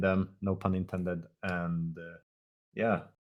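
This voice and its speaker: A man talks at a fairly slow pace in a very deep, low voice. The recording is very clean, with a silent background. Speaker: team captain in an online game league. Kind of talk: casual interview. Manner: halting, many fillers.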